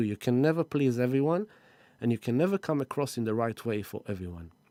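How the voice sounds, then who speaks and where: A man with a non-native accent, medium in pitch, dark and mellow in tone, with lively intonation, on a very clean recording against a silent background. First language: not English. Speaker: spiritual astrology live-streamer. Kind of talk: live stream talk. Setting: live stream.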